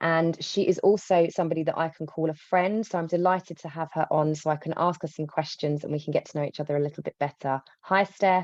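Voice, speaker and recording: A woman talks very fast with hardly any pauses, her fairly low voice held in fairly even intonation. The sound is dry and close with no echo, over a quiet background. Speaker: podcast host. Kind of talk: casual interview.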